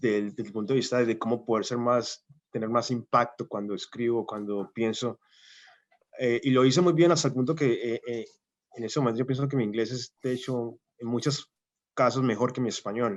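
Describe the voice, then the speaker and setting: A man's medium-pitched voice at a moderate pace, fairly even in intonation, against a quiet background. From Colombia, Cali. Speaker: scientist, invited lecturer. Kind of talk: Q&A after lecture. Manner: hesitant, many fillers.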